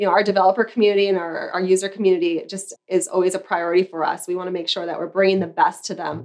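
Her medium-pitched voice runs at a very fast pace with hardly any pauses, as this woman keeps a fairly even intonation. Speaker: brand partnerships executive. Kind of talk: casual interview.

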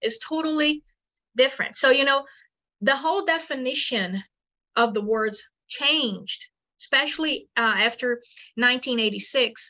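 Pausing long and often, a woman with a Portuguese accent speaks at a moderate pace in a high pitch with ordinary pitch variation. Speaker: paleontologist. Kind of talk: interview.

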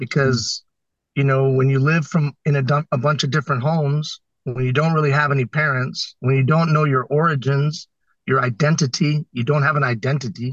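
A man with a somewhat breathy, fairly high-pitched voice keeps a fairly even intonation, recorded in a dry, close sound with no echo. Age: 50s. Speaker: social entrepreneur and record breaker. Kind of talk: interview.

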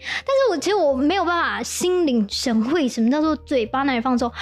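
Talking at a fairly quick pace with a Taiwanese accent, a woman sounds animated, her intonation lively over noticeable background noise. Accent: Taiwanese Mandarin. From Taiwan, Taipei. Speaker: TV news anchor. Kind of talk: casual chat. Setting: studio.

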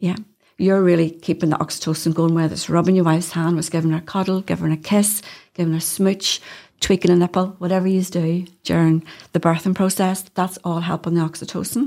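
A woman with a Northern Irish accent speaks at a very fast pace, her fairly low voice dark and mellow with monotone, flat intonation. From Northern Ireland. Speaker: doula. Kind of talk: casual chat.

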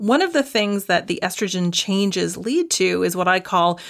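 A plain, everyday voice with a Canadian accent. Its pitch varies an ordinary amount. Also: woman. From Canada. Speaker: dietitian and naturopathic doctor. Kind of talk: interview.

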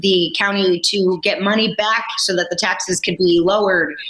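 At medium pitch and a moderate pace, a woman talks over noticeable background noise. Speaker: film producer. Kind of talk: casual chat. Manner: animated.

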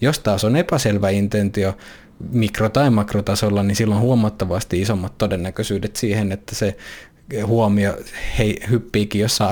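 A man speaks in a fairly low pitch, keeping fairly even intonation at a moderate pace. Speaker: podcast host and coach. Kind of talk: solo monologue podcast.

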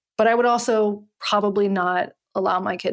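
On a very clean recording with a silent background, a woman with an American accent speaks at a medium pitch with ordinary pitch variation, an ordinary speaking voice. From US South, Western North Carolina. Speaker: podcast host and journalist. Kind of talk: casual interview conversation.

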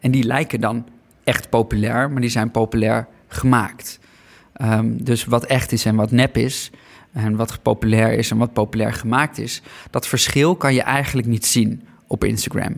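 A man at a moderate pace, with vocal fry. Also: medium pitch for a man. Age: 30s. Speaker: documentary maker. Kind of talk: interview. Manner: halting, with many fillers and repetitions.

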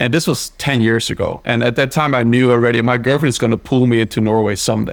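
A man with a Dutch accent at a very fast pace, medium in pitch, with fairly even intonation and very even loudness. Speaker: company founder. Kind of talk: interview.

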